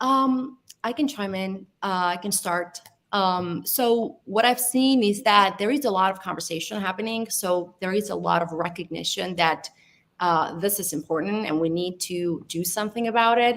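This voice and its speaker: Speaking with an Italian accent, a woman keeps a moderate pace. Her pitch varies in an ordinary way. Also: medium pitch for a woman. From Italy, Albanian heritage. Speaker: data science panelist. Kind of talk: panel discussion.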